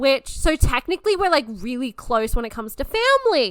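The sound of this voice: A woman speaks at a moderate pace in a high voice with a fairly bright tone and big swings in pitch.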